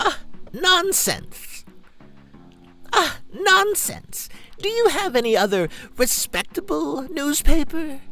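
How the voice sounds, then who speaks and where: A man uses a put-on character voice with an extremely high pitch. He speaks at a fairly slow pace with long, frequent pauses as faint music plays in the background. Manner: silly, cranky.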